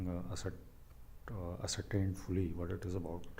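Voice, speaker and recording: A man with a very deep, low pitch speaks amid audible room echo. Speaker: channel owner commenting on his radio call. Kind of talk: commentary over replayed call. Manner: halting, many fillers.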